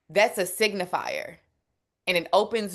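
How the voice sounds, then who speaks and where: In a Southern US accent, a woman speaks at a very slow pace against a quiet background. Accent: Southern twang. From Memphis, Tennessee, US South. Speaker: food justice advocate. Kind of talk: panel discussion. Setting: webinar. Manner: casual, conversational.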